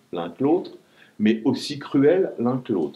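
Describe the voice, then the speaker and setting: A man's voice carries vocal fry and a dark, mellow tone as it moves through very wide pitch swings. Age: 60s. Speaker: writer. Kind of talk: author talk with students.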